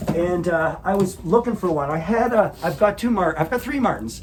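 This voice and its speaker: A man talks at a high pitch and a moderate pace, with ordinary pitch variation. Noticeable background noise runs under his voice. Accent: Canadian. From Canada. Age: 60s. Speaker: rock musician. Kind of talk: casual interview chat. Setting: sap house.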